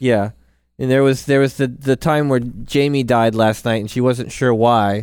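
An unremarkable speaking voice belongs to this man, who keeps a medium pitch, a moderate pace and fairly even intonation. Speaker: podcast co-host and gamer. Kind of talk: casual banter about gaming. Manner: playful, joking.

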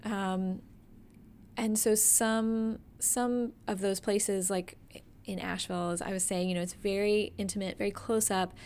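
In an American accent, a woman speaks at a medium pitch and a fairly slow pace, her intonation monotone and flat, on a very clean recording with a silent background. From Atlanta area, US South. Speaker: dance nonprofit director and dance instructor. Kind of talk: casual interview. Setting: in her office.

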